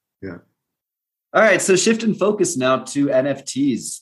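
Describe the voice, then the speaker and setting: With an American accent, a man talks at a moderate pace in a plain, everyday voice. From United States. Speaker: podcast host. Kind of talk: interview conversation; scripted narration.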